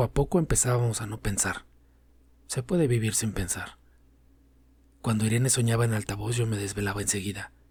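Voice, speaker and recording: Somewhat breathy and medium-pitched, a man speaks at a fairly quick pace with long, frequent pauses, on a very clean recording with a silent background. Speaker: narrator. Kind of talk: audiobook story reading.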